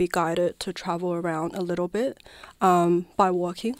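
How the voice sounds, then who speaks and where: In a very clean recording with a silent background, a woman with a Chinese accent talks at a moderate pace. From southwest China. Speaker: dancer and performance artist. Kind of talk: radio interview. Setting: radio studio.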